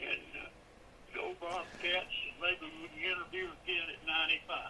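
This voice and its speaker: A man with a Southern US accent talks at a moderate pace against noticeable background noise. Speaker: retired high school football coach. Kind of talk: interview closing remarks.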